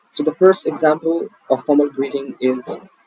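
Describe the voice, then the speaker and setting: With an Indian accent, a man speaks at a moderate pace and a fairly high pitch, showing ordinary pitch variation. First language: Hindi. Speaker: English teacher. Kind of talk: online English lesson.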